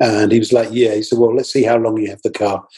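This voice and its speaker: This man speaks in a flat monotone and sounds somewhat breathy. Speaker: marketing professor and personal branding coach. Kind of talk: interview.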